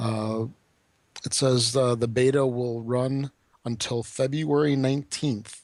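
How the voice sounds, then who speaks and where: A man talks at a very slow pace. His intonation is monotone and flat. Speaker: gaming podcast co-host. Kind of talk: casual chat.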